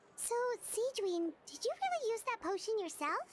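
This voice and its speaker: A woman speaks in a put-on character voice, squeaky and extremely high-pitched. Her intonation is lively and her pace moderate. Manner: surprised.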